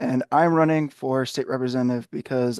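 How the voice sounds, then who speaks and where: With a Midwestern American accent, a man talks at a moderate pace and medium pitch, the sound dry and close with no echo. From Ohio, greater Cleveland. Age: 20s. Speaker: political candidate. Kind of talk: prepared statement.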